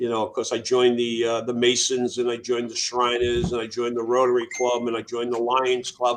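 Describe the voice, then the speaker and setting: The speaker talks at a fairly quick clip in a Boston accent, with flat, monotone intonation and hardly any pauses. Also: man, medium pitch for a man. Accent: New England (Boston area). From Massachusetts, Worcester. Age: 60s. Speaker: Air Force veteran, nonprofit founder. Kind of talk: interview conversation. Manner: halting, many fillers.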